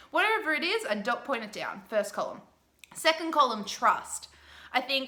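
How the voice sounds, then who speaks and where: There is noticeable background noise behind a woman talking at a moderate pace. Her intonation is lively. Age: 20s. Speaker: business coach. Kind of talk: tutorial.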